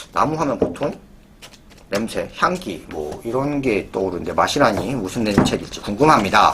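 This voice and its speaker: The pitch swings very widely at a moderate pace. Noticeable background noise runs underneath. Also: man, medium pitch for a man. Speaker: bookstore presenter reading editors' letters. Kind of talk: reading aloud letters; casual presentation. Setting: recorded on camera, indoor setup.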